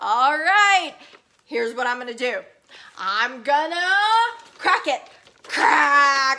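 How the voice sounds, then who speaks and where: A woman uses a put-on character voice, high in pitch. She speaks at a very slow pace with long, frequent pauses. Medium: read story. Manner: menacing.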